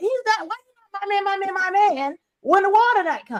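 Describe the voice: Her voice sits extremely high for a woman, and she speaks at a fairly quick pace.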